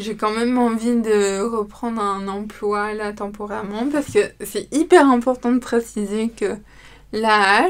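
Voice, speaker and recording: Her fairly high pitch and fairly even intonation come at a fairly slow pace as a woman talks in an ordinary speaking voice. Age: 20s. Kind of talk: testimony. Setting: studio.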